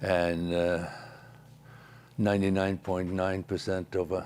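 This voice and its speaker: Very deep, low pitch from a man. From Norway. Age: 70s. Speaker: strongman athlete and gym owner. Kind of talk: TV interview. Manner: halting, many fillers.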